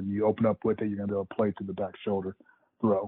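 A man is speaking. His pace is very fast. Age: 40s. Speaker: college football coach. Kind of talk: interview about coaching technique. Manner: halting, many fillers.

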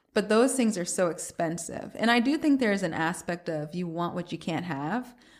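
A woman with a plain, everyday voice and an American accent talks at a fairly low pitch and moderate pace, with lively intonation and hardly any pauses, in a very clean recording with a silent background. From US South, Atlanta. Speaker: cookbook author and food blogger. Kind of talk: casual interview.

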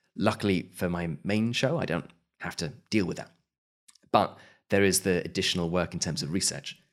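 At a moderate pace, a man with a very deep, low voice speaks with long, frequent pauses. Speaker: podcaster and audio drama writer. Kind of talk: interview conversation. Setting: remote call from Malta. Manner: calm, fairly flat delivery.

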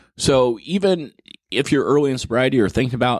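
This man has an ordinary speaking voice and a moderate pace. His intonation is lively. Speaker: podcast host. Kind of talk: casual chat.

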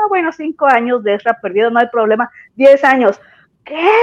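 A woman speaks at a high pitch and a fairly quick pace. The sound is dry and close with no echo, over a quiet background. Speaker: fan fiction author. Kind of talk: casual chat. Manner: halting.

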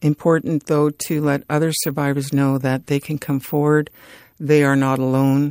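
Recorded very cleanly against a silent background, with a dry, close sound and no echo, a woman with a Canadian accent speaks at a very deep, low pitch. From northern Alberta, Canada (First Nations). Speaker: author and activist. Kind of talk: interview.

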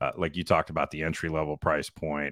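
A man's very deep, low voice in a very clean recording with a silent background and a dry, close sound with no echo. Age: 50s. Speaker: real estate podcast co-host. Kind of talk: casual chat.

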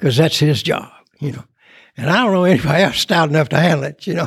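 The voice belongs to a man with a fairly high pitch. It sounds somewhat breathy. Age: 80s+. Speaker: recovery speaker. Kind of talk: testimony. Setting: stage with audience.

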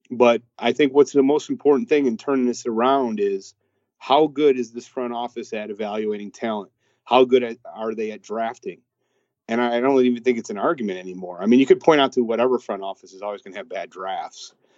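A man's medium-pitched, unremarkable speaking voice, fairly quick, with ordinary pitch variation and big swings in loudness. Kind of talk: casual sports debate. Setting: phone call. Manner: talkative, opinionated.

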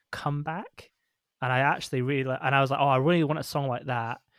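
On a very clean recording with a silent background, a man speaks with a Scottish accent. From Scotland. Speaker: musician discussing his album. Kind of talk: casual chat.

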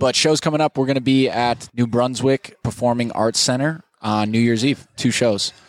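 This man has an unremarkable speaking voice at medium pitch. He talks at a moderate pace with ordinary pitch variation. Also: very even loudness. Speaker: stand-up comedian. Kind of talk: casual interview chat, with bits of stand-up and joke-telling. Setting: live at a comedy club diner, recorded podcast.

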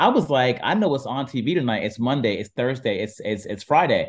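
In an American accent, a man with an unremarkable speaking voice talks at a medium pitch with lively intonation. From US Midwest, Warren, Ohio. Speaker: app founder and entertainment journalist. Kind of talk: interview.

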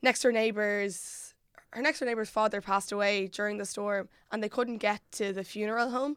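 In a very clean recording with a silent background, a woman with an Irish Midlands accent speaks at a fairly quick pace with fairly even intonation. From Ireland, Mullingar. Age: 20s. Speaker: podcast producer. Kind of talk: casual chat.

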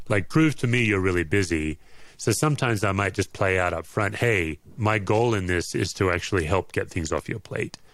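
On a very clean recording with a silent background, a man with an unremarkable speaking voice talks at a moderate pace and fairly low pitch with lively intonation. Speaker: author and former pastor. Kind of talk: casual interview chat.

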